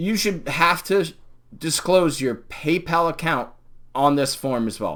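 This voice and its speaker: In a very clean recording with a silent background, a man with a fairly high pitch talks at a very slow pace, leaving long, frequent pauses. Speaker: YouTube commentator. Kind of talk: live stream commentary. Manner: animated.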